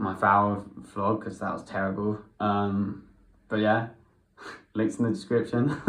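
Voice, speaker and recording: Speech at a fairly slow pace with fairly even intonation. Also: man. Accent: English. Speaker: vlogger learning Spanish. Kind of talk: casual vlog; Spanish conversation practice. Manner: halting.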